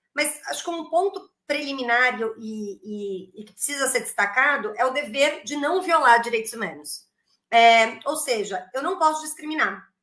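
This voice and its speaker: A woman with a high pitch speaks at a fairly slow pace, her loudness swinging widely. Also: lively intonation. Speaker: lawyer. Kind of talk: panel discussion. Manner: hesitant.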